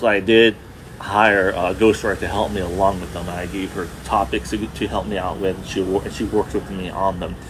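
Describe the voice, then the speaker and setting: A man talks at a fairly quick pace with fairly even intonation over noticeable background noise. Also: fairly low pitch for a man. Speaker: podcaster. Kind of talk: casual live stream chat. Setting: outdoors downtown, live stream.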